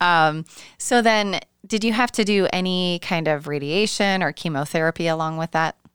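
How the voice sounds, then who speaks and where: This woman has an unremarkable speaking voice, fairly low in pitch with ordinary pitch variation. She talks at a moderate pace, and the sound is dry and close with no echo. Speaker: podcast host and breast cancer survivor. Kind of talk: interview conversation. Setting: remote call across time zones.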